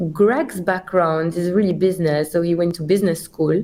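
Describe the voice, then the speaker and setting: The speaker has a Belgian accent and talks at a moderate pace. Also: woman. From Belgium. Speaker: company CEO. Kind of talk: podcast interview.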